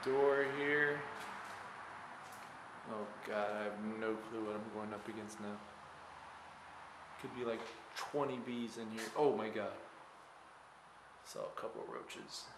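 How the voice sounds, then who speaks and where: With noticeable background noise behind him, a man talks at a fairly slow pace with long, frequent pauses. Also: fairly even intonation. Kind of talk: casual exploration commentary. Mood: nervous, wary of hornets. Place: empty room. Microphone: phone near.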